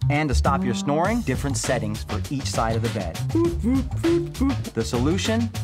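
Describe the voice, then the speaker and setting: Loud music plays in the background. The speech moves at a moderate pace with long, frequent pauses. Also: man. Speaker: actor and comedian. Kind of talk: TV commercial read. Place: shop.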